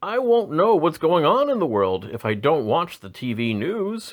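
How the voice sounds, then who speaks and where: In a put-on character voice, a man speaks at a moderate pace and a fairly high pitch, with very wide pitch swings. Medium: read story.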